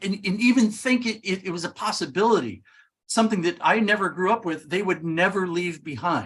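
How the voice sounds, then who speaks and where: A man speaks at a fairly quick pace in a high pitch. His pitch variation is ordinary. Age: 60s. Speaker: author and documentary maker. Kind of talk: interview conversation. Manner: halting, with stammered restarts.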